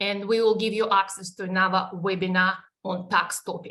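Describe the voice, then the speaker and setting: A woman speaks with a Russian accent. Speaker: superannuation advisor presenting webinar. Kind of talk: webinar presentation. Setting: online webinar. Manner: halting, many fillers.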